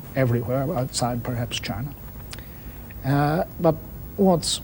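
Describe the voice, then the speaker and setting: Noticeable background noise sits behind this recording. A man with an Irish accent talks at a fairly high pitch. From Ireland. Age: 70s. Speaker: public intellectual, discussion moderator. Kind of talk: panel discussion.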